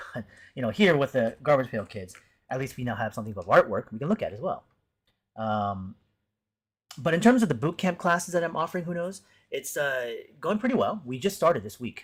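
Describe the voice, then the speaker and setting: In a very clean recording with a silent background, a man with a fairly high, somewhat breathy voice uses very wide pitch swings and big swings in loudness, leaving long, frequent pauses. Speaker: art teacher and streamer. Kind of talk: casual live stream chat. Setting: live stream. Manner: fast.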